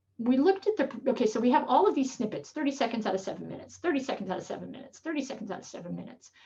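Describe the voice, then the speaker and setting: A woman's high voice swings very widely in pitch. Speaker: professor. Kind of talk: lecture. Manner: fast.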